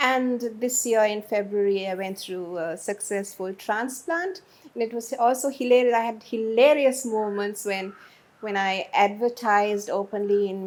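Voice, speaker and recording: She has an ordinary speaking voice, set at a fairly high pitch. The woman talks at a moderate pace with fairly even intonation. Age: 60s. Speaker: media personality. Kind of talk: interview.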